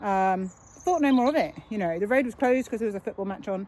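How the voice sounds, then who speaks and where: A woman speaks with a British accent at a medium pitch. Her pace is fairly quick, with ordinary pitch variation. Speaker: cyclist vlogger. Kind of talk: casual talk to camera while riding. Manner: fast.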